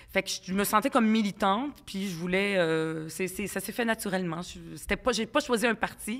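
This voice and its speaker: This woman speaks at a medium pitch and a moderate pace. Her pitch variation is ordinary. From Quebec, arrived at 10 from Lebanon, Palestinian family. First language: Arabic (speaking French). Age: 40s. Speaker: provincial politician. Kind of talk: podcast interview. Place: studio. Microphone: studio mic.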